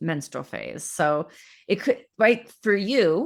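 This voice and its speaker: A woman's lively, vocal-fry-tinged speech on a very clean recording with a silent background. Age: 40s. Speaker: period coach and podcast host. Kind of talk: live coaching podcast conversation.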